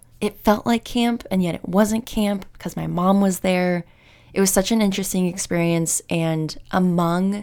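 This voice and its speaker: On a very clean recording with a silent background, a woman with an unremarkable speaking voice talks at a moderate pace, her fairly low pitch showing ordinary variation. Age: 30s. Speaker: podcast host. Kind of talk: casual chat.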